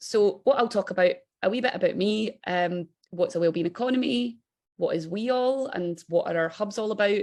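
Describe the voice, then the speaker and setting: In a strong Scottish accent, a woman speaks at a fairly high pitch with ordinary pitch variation. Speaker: think tank director. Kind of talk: webinar presentation. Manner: fast when excited.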